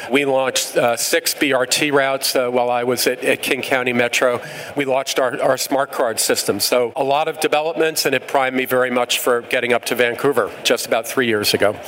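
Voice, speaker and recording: In an American accent, the speaker goes at a fairly quick pace in a flat monotone with very even loudness, over noticeable background noise. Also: man, medium pitch for a man. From New York. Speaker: transit agency CEO. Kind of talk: live panel discussion.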